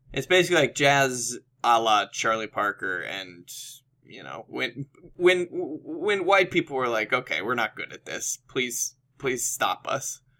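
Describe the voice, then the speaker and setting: In a very clean recording with a silent background, a man with a bright, sharp tone and vocal fry speaks at a fairly slow pace, his pitch swinging very widely and his loudness shifting sharply. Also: medium pitch for a man. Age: 20s. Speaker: podcast co-host. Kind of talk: casual comedic chat.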